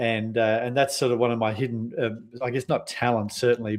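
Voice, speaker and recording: A man speaks with an Australian accent at a fairly quick pace, his intonation monotone and flat. The background is quiet. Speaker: sales and marketing consultant. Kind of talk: podcast interview. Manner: fast, runs sentences together; hesitant with many fillers.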